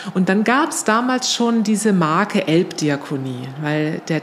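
Lively intonation at a medium pitch from a female speaker, with noticeable background noise. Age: 50s. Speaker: nonprofit managing director. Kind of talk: interview. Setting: in person at her workplace.

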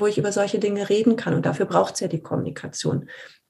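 A woman's medium-pitched, dark and mellow voice, somewhat breathy. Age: 50s. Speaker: leadership consultant, former HR manager. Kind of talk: interview.

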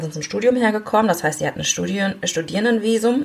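A woman talks at a very fast pace. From Germany, Aachen. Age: 30s. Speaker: member of parliament. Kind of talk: interview. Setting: video call. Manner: hesitant fillers.

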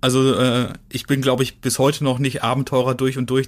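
A man's medium-pitched voice at a moderate pace. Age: 30s. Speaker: adventurer and author. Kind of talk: interview. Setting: video call.

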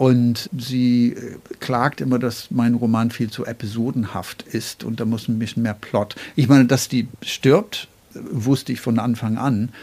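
A man speaks with a dark, mellow tone at medium pitch, keeping a fairly even intonation and a fairly slow pace. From Northern Ireland, Belfast. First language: English (speaking German). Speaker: poet and writer. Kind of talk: interview. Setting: at his home desk.

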